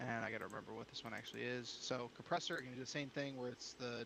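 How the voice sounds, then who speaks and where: A loud, bright, sharp voice at a very fast pace with monotone, flat intonation. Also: man. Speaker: streamer. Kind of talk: casual chat.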